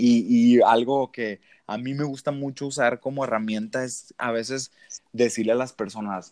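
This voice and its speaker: The speaker has a northern Mexican accent, captured with a dry, close sound with no echo. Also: man. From northern Mexico, Sonora (Ciudad Obregón). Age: 20s. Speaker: motivational speaker. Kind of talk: casual interview.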